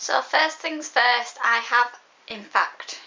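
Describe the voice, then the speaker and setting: Over noticeable background noise, a woman with a Yorkshire accent speaks at a high pitch and a fairly slow pace. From West Yorkshire. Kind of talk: casual talk to camera.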